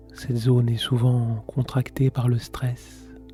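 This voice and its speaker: With music playing in the background, a man of medium pitch speaks very slowly in a monotone, flat way. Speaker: meditation guide. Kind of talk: guided meditation. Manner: slow, soft-spoken.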